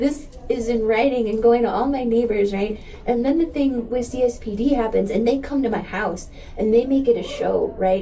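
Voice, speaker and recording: With an American accent, a woman talks at a moderate pace in a fairly high voice with ordinary pitch variation. Noticeable background noise and audible room echo fill the recording. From US Southwest border, El Paso, Texas. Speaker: community activist. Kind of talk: interview conversation. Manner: animated.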